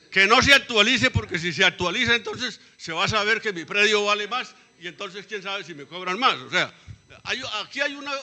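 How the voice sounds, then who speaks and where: In a raised, projected voice, a man with a high pitch talks at a moderate pace with lively intonation over noticeable background noise. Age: 70s. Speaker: former cadastral surveyor, community participant. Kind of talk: public meeting debate. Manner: halting.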